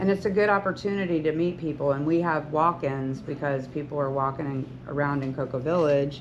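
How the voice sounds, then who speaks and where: The speaker keeps a moderate pace and ordinary pitch variation, with audible room echo in the recording. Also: woman. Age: 60s. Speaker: hairstylist and salon owner. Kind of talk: talk to students.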